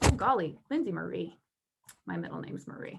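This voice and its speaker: A woman is speaking. Her pace is moderate. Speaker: workshop presenter. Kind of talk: online workshop.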